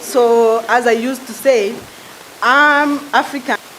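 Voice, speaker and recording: A woman speaks at a high pitch with fairly even intonation. Noticeable background noise can be heard. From Mali. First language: French. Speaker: conference delegate. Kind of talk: self-introduction. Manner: halting.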